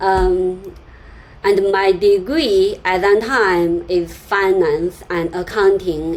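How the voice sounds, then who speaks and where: A woman's medium-pitched voice with a Chinese accent and ordinary pitch variation, over noticeable background noise. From China. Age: 30s. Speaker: software developer and YouTuber. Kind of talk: personal story vlog with screen sharing. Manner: halting, many fillers and repetitions.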